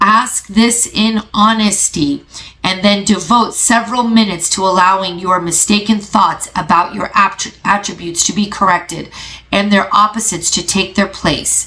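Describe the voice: A croaky, female-sounding put-on character voice at a medium pitch and a moderate pace.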